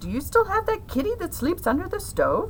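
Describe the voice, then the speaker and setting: A shrill, put-on character voice at a fairly quick pace, over clear background noise. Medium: read story. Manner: shrieking.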